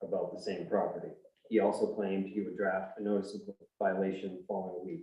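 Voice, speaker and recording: This man has a dark, mellow tone and fairly even intonation, with audible room echo around him. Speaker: appellant resident at town hearing. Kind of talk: reading a prepared statement. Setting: town board hearing. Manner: soft-spoken.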